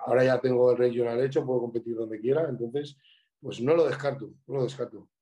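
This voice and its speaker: A man's dark, mellow voice rushes along at a very fast pace in monotone, flat intonation. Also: medium pitch for a man. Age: 30s. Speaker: bodybuilder and coach. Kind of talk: casual chat.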